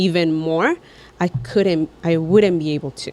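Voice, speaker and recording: With a Mexican accent, a woman speaks at a fairly low pitch with ordinary pitch variation. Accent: Mexican Spanish accent in English, noticeable. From Mexico. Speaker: podcast co-host. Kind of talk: casual chat. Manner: halting, repeats words.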